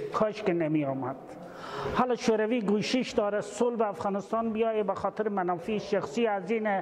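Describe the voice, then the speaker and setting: At a fairly quick pace, a man with a high pitch and ordinary pitch variation speaks over light background noise. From Russia, Volga region; Russia. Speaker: Soviet war veteran; interviewee. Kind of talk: interview testimony. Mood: earnest, critical. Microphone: lapel.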